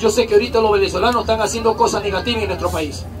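Faint music sits in the background. A man talks over it. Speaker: street comedian. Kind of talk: comedy crowd banter and interview. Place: street. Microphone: handheld.

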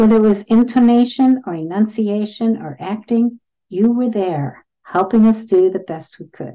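A woman speaks at a fairly slow pace in a dark, mellow tone. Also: quiet background. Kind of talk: reading student testimonials aloud. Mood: warm, reflective. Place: home room. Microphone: webcam.

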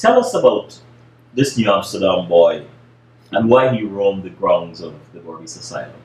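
A man speaks at a moderate pace with big swings in loudness and long, frequent pauses, in audible room echo over light background noise. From Guyana. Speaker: interviewer. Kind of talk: interview. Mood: calm, thoughtful. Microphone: webcam.

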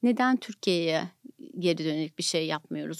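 A woman talks at a fairly slow pace with lively intonation, fairly low pitch and vocal fry. The background is quiet and the sound is dry with no echo. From Turkey. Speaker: nonprofit foundation director; podcast guest. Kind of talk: interview. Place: studio. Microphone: studio mic.

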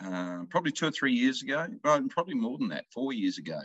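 A man with an Australian accent, bright and sharp in tone, with very wide pitch swings, a dry sound with no echo and a quiet background. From rural Victoria, Australia. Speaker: country music singer-songwriter. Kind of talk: casual interview. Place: home room. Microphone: video call.

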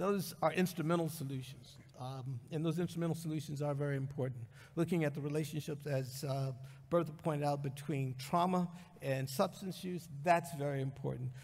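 A somewhat breathy voice at a fairly quick pace, with fairly even intonation. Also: man. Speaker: conference speaker. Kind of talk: lecture. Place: hall. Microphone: podium.

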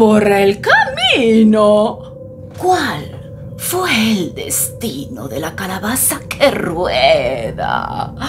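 Background music accompanies this recording. Over it, a woman speaks very slowly. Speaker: storyteller. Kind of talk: children's story reading.

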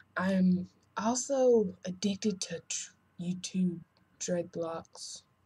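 Somewhat breathy, the voice holds fairly even intonation. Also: woman. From North Carolina. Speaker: hair vlogger. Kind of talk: casual vlog. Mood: chatty, self-mocking. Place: home room. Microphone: webcam.

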